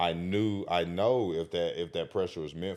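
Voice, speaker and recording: An animated, passionate voice with vocal fry and ordinary pitch variation. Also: man. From small country town. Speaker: podcast host interviewed as guest. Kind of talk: casual interview. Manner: loud when excited.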